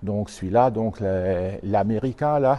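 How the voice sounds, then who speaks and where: A man with a fairly low pitch speaks at a very slow pace, with ordinary pitch variation. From Alsace, France (Haut-Rhin). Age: 60s. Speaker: tractor collector. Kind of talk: interview. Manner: halting.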